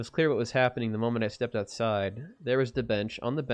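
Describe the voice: Intonation remains fairly even. The delivery is plain reading aloud.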